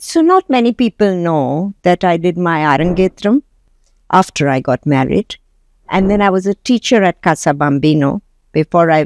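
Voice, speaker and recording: An unremarkable speaking voice from a woman, fairly low in pitch, with ordinary pitch variation, very even loudness and a moderate pace, in dry, close sound with no echo. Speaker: entrepreneur. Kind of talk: interview.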